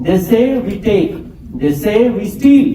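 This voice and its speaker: With lively intonation, a man speaks at a very slow pace amid audible room echo and noticeable background noise. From India, Bihar. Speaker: poet. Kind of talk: poetry reading.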